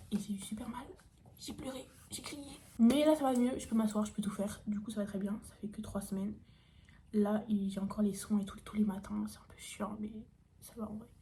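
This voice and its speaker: Audible room echo surrounds a woman speaking at a moderate pace with long, frequent pauses. Her somewhat breathy voice keeps a fairly even intonation. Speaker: youtuber. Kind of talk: casual Q&A vlog. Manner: casual with many fillers.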